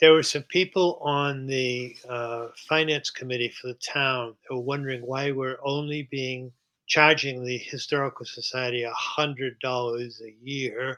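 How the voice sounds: This man's voice is clear and smooth yet bright and sharp, with medium pitch, fairly even intonation and a fairly slow pace.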